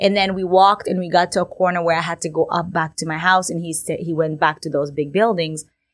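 With an Egyptian accent, a woman speaks at a very fast pace with hardly any pauses, in a fairly low pitch. Her intonation is monotone and flat, and the recording is very clean with a silent background. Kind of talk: casual interview.

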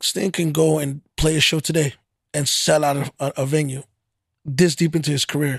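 A man with an American accent speaks at a moderate pace in a fairly high, somewhat breathy voice with flat, monotone intonation, recorded dry and close with no echo against a silent background in a very clean recording. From Fort Worth, Texas. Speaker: podcast host. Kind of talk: casual interview. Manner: conversational, slightly stumbling.

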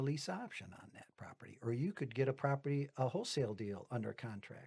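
Speaking at a fairly quick pace, the man sounds somewhat breathy. His pitch is fairly high. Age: 60s. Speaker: retired auto worker turned real estate investor. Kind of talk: casual podcast interview. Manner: rambling, self-correcting.

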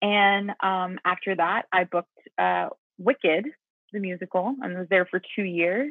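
A woman with an American accent talks at a fairly slow pace in an ordinary speaking voice. Her pitch is medium, with ordinary pitch variation. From US South, Mississippi. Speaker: musical theater actress. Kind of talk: casual interview.

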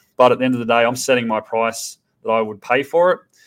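Speaking with an Australian accent, a man uses medium pitch and ordinary pitch variation. His pace is fairly quick. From Tasmania, Australia. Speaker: startup founder. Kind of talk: podcast interview.

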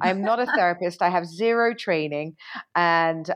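Fairly low in pitch with ordinary variation, the woman has an unremarkable speaking voice. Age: 40s. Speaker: TV and radio presenter. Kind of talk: casual chat. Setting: video call.

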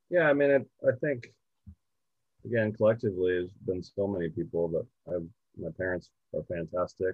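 Using a Californian accent, a man with a very deep, low pitch speaks with lively intonation and long, frequent pauses. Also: moderate pace. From US West Coast, southern California. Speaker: golf organization founder. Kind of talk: interview.

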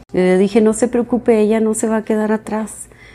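A woman speaks at a medium pitch with a Mexican accent. Her tone is dark and mellow. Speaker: mother of the host, parent of bilingual children. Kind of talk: interview conversation in Spanish. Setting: home.

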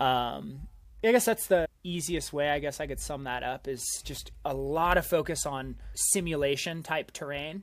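At a fairly slow pace, a man talks in an unremarkable speaking voice with ordinary pitch variation. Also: fairly high pitch for a man. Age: 30s. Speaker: mountain runner and climber. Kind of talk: casual chat. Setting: video call.

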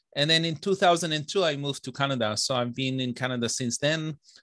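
A man speaks at a fairly quick pace in an Israeli accent, with a medium pitch and ordinary pitch variation. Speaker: software engineer and novelist. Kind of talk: casual interview chat.

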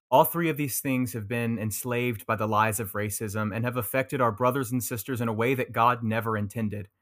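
With hardly any pauses, a man speaks at a fairly quick pace in a medium-pitched voice with fairly even intonation, recorded very cleanly against a silent background. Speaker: podcast co-host leading prayer. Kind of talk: fervent prayer. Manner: earnest, impassioned, pleading; solemn, heartfelt.

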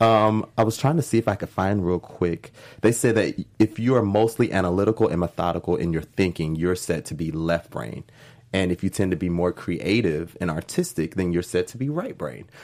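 On a very clean recording with a silent background, a man talks at a moderate pace in a very deep, low voice with ordinary pitch variation. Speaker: co-host. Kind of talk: casual chat discussing a TV episode. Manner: animated, enthusiastic.

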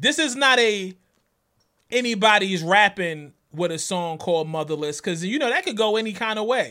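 A raised, projected voice with a bright, sharp tone speaks at a moderate pace. Its intonation is lively, and the recording is very clean with a silent background. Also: man, high pitch for a man. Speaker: podcast host. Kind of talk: casual chat.

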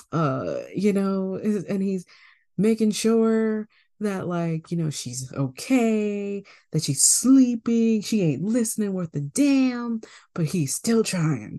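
Dark, mellow tone from a woman at medium pitch, with lively intonation, a very slow pace and a quiet background. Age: 20s. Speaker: podcast co-host. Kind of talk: casual chat.

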